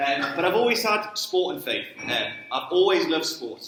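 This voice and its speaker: With a Geordie accent, this speaker talks at a moderate pace with lively intonation, over noticeable background noise and audible room echo. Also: man. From northern England, Newcastle. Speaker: sports ministry trainer. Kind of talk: church talk. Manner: casual, conversational.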